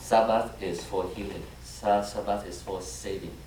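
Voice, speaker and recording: A man with a Vietnamese accent at a fairly slow pace, with noticeable background noise and audible room echo. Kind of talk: homily. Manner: halting, frequent fillers and restarts.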